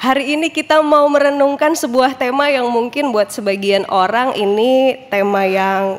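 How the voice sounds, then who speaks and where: A woman's lively intonation rises and falls at a fairly slow speed. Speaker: pastor. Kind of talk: sermon. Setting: church. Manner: casual, conversational.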